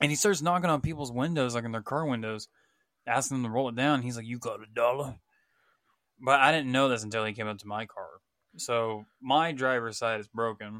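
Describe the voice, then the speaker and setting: A man with an American accent talks at a fairly quick pace and medium pitch, with a bright, sharp tone and ordinary pitch variation, in a very clean recording with a silent background. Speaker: gamer and musician, podcast co-host. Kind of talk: casual chat.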